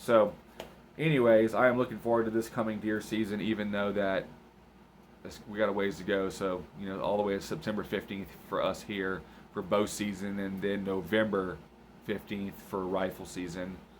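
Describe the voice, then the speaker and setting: Speaking with an American accent, a man keeps a moderate pace, a fairly low pitch and fairly even intonation. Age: 30s. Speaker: hunting vlogger. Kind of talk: casual vlog talk. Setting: late at night, home recording. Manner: relaxed, hesitant with fillers.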